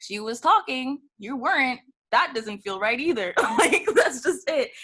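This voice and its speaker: The voice is raised and projected, with very wide pitch swings and big swings in loudness. The pace is fairly slow. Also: woman, high pitch for a woman. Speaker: freelance writer. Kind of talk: casual chat. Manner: halting.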